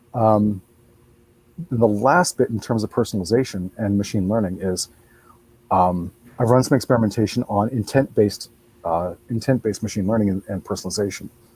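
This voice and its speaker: Talking at a fairly quick pace with long, frequent pauses, a man with a fairly low pitch and ordinary pitch variation is heard in a dry, close sound with no echo. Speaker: search engine expert. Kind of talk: webinar panel discussion. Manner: fast.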